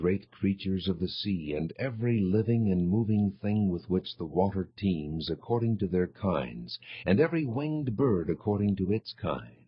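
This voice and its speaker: At a moderate pace, a somewhat breathy voice speaks with lively intonation. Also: man. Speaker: voice actor. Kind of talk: audio Bible reading. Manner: clear, precise articulation.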